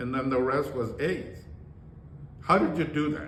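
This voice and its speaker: A man speaks with a fairly high voice. Audible room echo surrounds him. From rural Texas, Mexican-American. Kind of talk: personal life story interview. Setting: conference room. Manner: halting, many fillers.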